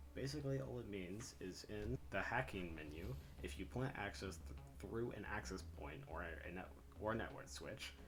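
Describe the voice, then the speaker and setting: Intonation is lively and the pace moderate. Audible room echo and noticeable background noise fill the recording. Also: man, very deep, low pitch for a man. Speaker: gaming YouTuber. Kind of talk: gameplay explainer tutorial. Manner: quiet.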